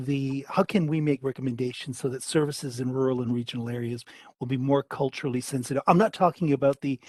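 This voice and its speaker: With a Canadian accent and a normal speaking voice, a man speaks at a moderate pace and a fairly high pitch in a dry, close sound with no echo. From Canada. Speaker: state politician on parliamentary committee. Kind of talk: parliamentary committee questioning. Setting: parliamentary public hearing.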